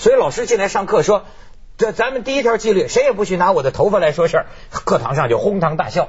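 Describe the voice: Speaking at a fast pace, a man uses a high pitch with big pitch swings.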